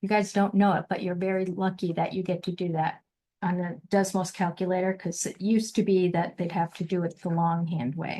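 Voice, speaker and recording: A woman talks at a fairly quick pace in a monotone, flat delivery. Her tone is dark and mellow, and somewhat breathy. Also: medium pitch for a woman. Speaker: statistics teacher. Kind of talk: lecture.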